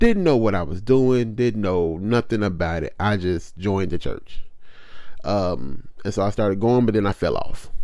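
This man's voice has a dark, mellow tone and sits at a fairly low pitch. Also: ordinary pitch variation, moderate pace. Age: 30s. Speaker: podcast host. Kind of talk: casual personal testimony.

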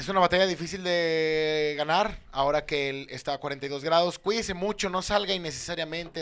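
This man has a normal speaking voice at a fairly high pitch. He talks at a moderate pace with fairly even intonation. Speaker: comedian. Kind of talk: casual chat. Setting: studio.

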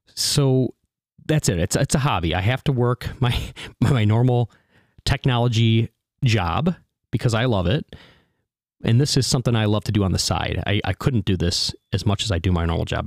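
Recorded very cleanly against a silent background, dry and close with no echo, a man with an unremarkable speaking voice talks at a fairly quick pace and medium pitch, with lively intonation and very even loudness. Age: 40s. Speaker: podcast host. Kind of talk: casual solo podcast monologue.

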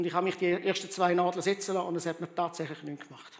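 Speaking at a very fast pace, the man has a high pitch. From Rwanda, then Switzerland. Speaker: pastor. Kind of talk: sermon.

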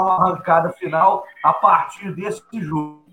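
Very slowly, a man speaks in a raised, projected voice that is high in pitch. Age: 30s. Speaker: lawyer and football commentator. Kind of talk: sports debate show.

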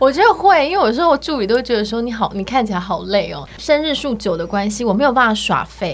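Over noticeable background noise, a woman talks at a very fast pace with hardly any pauses, her pitch swinging very widely. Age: 30s. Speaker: e-commerce entrepreneur, former trainee entertainer. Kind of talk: casual interview chat.

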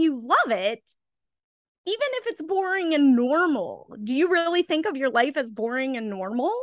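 A woman's high pitch with very wide pitch swings at a moderate pace, dry and close with no echo, over a quiet background. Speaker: podcast co-host, movie reviewer. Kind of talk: casual chat. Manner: laughs often.

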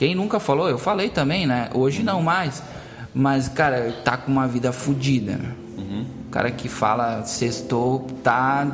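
Delivered at a fairly slow pace with lively intonation, the voice comes through audible room echo and noticeable background noise. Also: man, medium pitch for a man. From Brazil, Rio Grande do Sul (Teutônia). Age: 30s. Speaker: entrepreneur. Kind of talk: casual chat.

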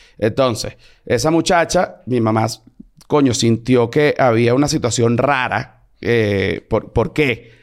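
In a very clean recording with a silent background, a man speaks at medium pitch. His pace is very slow. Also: ordinary pitch variation, very even loudness. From Venezuela. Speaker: comedian. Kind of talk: casual chat.

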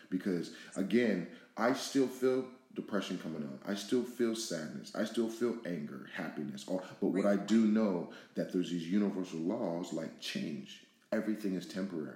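A man with an American accent talks at a moderate pace in a fairly low pitch with ordinary variation. His tone is dark and mellow, and the room echo is audible. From Pasadena, California, US. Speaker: podcast co-host. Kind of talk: casual discussion. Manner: halting, many fillers.

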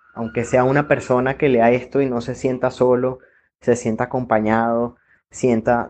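A man's unremarkable speaking voice at medium pitch and moderate pace, over a quiet background. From Venezuela. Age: 30s. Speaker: industrial engineer. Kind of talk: personal testimony.

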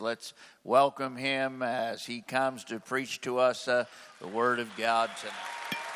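A man's bright, sharp, medium-pitched voice comes through a very clean recording with a silent background. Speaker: conference host introducing the preacher. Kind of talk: introduction at a church conference. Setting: church stage with audience. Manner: warm, hesitant with fillers.

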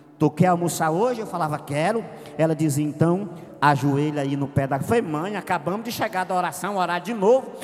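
With noticeable background noise in the mix, a man's high-pitched voice moves at a fairly quick pace, its pitch varying in an ordinary way. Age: 40s. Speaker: pastor. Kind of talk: sermon. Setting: church.

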